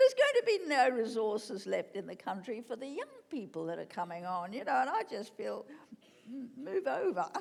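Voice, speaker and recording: A woman with an Australian accent talks at a fairly quick pace, her loudness swinging widely. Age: 80s+. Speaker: author and former gallery director. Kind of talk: on-stage festival interview. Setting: stage with audience.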